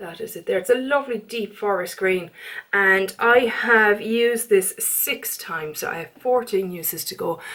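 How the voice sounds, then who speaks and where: A woman speaks with an Irish accent in a fairly high voice with ordinary pitch variation. Her loudness swings widely over noticeable background noise. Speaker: beauty vlogger. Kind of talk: casual chat. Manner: fast.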